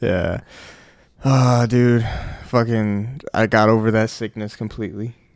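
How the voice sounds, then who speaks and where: With long, frequent pauses, a man speaks at a fairly slow pace and fairly even intonation. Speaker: podcast host. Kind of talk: casual chat.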